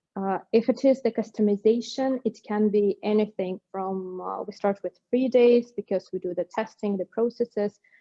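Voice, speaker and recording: Speaking with a non-native accent, a woman keeps a moderate pace with hardly any pauses. Her pitch is fairly high and her intonation fairly even. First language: not English. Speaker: company executive. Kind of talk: webinar panel Q&A. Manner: halting.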